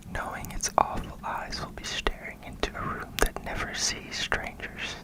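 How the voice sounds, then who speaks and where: The speaker is whispering at a fairly slow pace. Noticeable background noise can be heard. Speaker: ASMR creator. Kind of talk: horror book reading. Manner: whispered.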